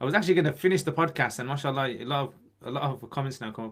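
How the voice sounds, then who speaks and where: This man's voice has a fairly high pitch. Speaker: Islamic teacher and YouTuber. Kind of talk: live stream Q&A. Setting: livestream. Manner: casual, conversational.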